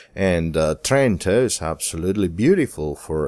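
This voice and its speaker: A man with an Italian accent at a fairly slow pace, his pitch swinging very widely, on a very clean recording with a silent background. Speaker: wine podcast host. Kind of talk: scripted narration.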